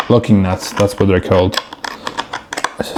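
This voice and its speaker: A man with a non-native accent and monotone, flat intonation, over noticeable background noise. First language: not English. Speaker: DIY video maker. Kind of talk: casual vlog narration while working. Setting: indoors, door open behind.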